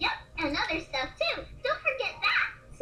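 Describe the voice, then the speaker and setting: A squeaky, put-on character voice from a female-sounding speaker, extremely high-pitched for a woman, with very wide pitch swings, a moderate pace and clearly audible background noise. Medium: read story. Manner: bubbly, jubilant.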